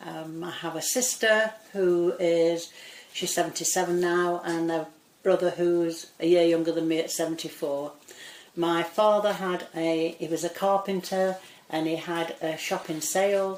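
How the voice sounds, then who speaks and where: At a fairly slow pace, a woman talks with a fairly low pitch and monotone, flat intonation. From northern England, Greater Manchester (Cheshire side). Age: 70s. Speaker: local resident interviewee. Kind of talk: oral history interview. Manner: conversational, hesitant with fillers.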